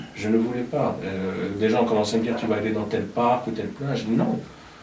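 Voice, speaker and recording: Amid noticeable background noise and audible echo in the room, a man talks fairly slowly. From Gabon (Libreville). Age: 40s. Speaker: singer-songwriter. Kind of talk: interview conversation. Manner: hesitant, many fillers.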